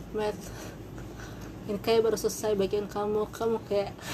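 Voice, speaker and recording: A woman's fairly quick speech comes through with noticeable background noise. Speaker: vlogger. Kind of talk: casual personal storytelling. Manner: halting, many repetitions.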